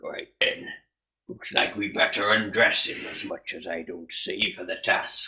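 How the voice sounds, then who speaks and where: A man does a raspy, put-on character voice at a moderate pace. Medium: actual play. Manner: blunt, plain-spoken.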